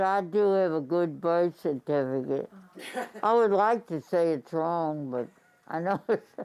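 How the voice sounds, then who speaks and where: A woman's fairly low voice in a New Orleans accent, fairly slow pace, ordinary pitch variation. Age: 80s+. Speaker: retired substitute teacher. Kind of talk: interview answer.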